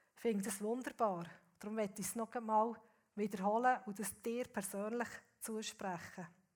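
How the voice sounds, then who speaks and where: A plain, everyday voice from a woman, fairly high in pitch, with fairly even intonation at a moderate pace. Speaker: guest preacher. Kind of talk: sermon.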